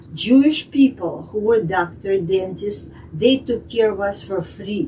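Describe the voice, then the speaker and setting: With a Russian accent, a woman talks at a fairly slow pace in a medium pitch with lively intonation, over noticeable background noise. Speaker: immigrant telling life story. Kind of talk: interview. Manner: halting.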